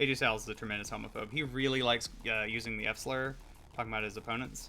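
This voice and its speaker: At a very fast pace, a man with a slight Georgia accent speaks at a medium pitch, his fairly even intonation carrying vocal fry and a bright, sharp tone. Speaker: streamer. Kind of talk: casual chat. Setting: live stream.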